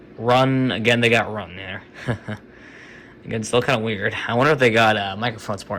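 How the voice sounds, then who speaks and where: A man's medium-pitched voice, fairly quick yet broken by long, frequent pauses, fairly even in intonation, over noticeable background noise. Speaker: tech YouTuber. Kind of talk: casual screen-recording commentary. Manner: casual, hesitant with fillers. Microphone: recorded on an iPhone.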